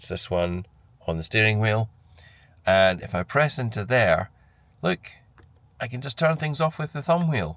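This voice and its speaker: Speaking at a moderate pace, a man with a fairly low pitch talks in a Scottish accent. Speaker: car reviewer. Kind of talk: vlog walkthrough. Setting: in a car. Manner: conversational with hesitations.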